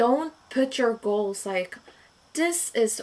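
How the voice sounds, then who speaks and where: A woman with a non-native accent. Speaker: vlogger. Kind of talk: casual monologue vlog. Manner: rambling with many fillers.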